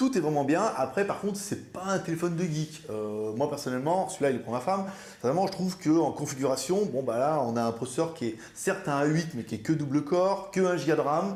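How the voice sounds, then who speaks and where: With audible room echo, a man talks at a fairly quick pace in a fairly high pitch with lively intonation. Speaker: viewer reviewer. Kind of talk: product review.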